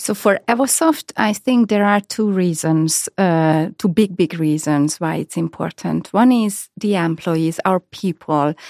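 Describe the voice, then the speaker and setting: A woman with a Hungarian accent speaks fairly slowly at a medium pitch, with ordinary pitch variation and hardly any pauses. The recording is very clean, with a silent background. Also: dry, close sound with no echo. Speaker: head of human resources. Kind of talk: interview. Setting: studio. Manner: halting.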